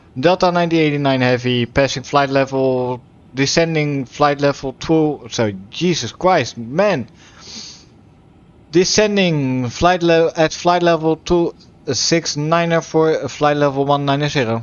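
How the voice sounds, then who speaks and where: A man speaks at a fairly slow pace. His loudness stays very even. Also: fairly high pitch for a man, ordinary pitch variation. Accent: Dutch. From Netherlands. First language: Dutch. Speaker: flight sim streamer. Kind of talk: live gameplay stream with radio calls. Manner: halting, stumbles on words.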